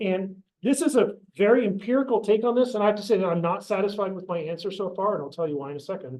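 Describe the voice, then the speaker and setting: Talking at a very fast pace, a man has a high pitch and ordinary pitch variation. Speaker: professor and oceanographer. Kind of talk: seminar lecture. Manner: hesitant, many fillers.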